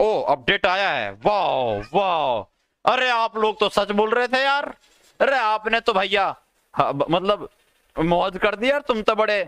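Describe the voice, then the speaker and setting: A man's intonation is lively, and the background behind him stays quiet. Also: dry sound with no echo. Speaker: game streamer. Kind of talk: excited gaming commentary. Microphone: headset.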